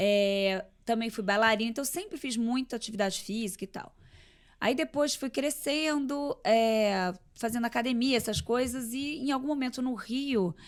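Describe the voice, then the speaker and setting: The recording is very clean, with a silent background. A woman with a high pitch talks at a moderate pace with ordinary pitch variation. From Rio de Janeiro, Brazil. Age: 40s. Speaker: entrepreneur and athlete guest. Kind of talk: casual interview.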